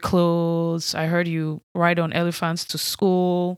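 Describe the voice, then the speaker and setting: This woman has a fairly low pitch and monotone, flat intonation. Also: very clean recording, silent background. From Nigeria. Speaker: podcast host. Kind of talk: solo podcast monologue.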